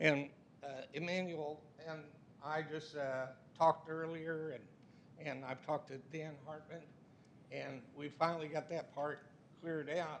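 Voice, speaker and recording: A man with an American accent speaks fairly slowly at a fairly high pitch, with long, frequent pauses. His delivery is monotone and flat, with audible room echo. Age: 70s. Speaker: resident speaking at public comment. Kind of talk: public comment at council meeting. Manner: agitated.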